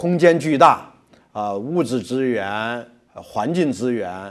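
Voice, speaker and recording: The background is quiet. A man talks at a very slow pace. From mainland China. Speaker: logistics company executive; guest. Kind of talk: interview. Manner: halting with many fillers. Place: studio. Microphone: lapel.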